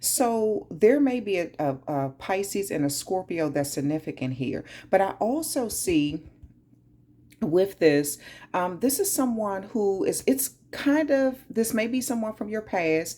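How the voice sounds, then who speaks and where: A woman with a strong Southern US accent, medium pitch, very wide pitch swings and a dark, mellow tone at a fairly slow pace on a very clean recording with a silent background. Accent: heavy southern US. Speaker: tarot reader. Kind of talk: tarot reading.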